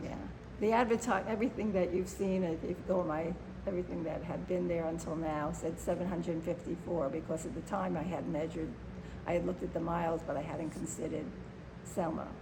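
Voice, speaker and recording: A woman with an American accent at a fairly quick pace, with noticeable background noise. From Chicago, Illinois. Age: 70s. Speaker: activist and performer. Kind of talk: interview answer.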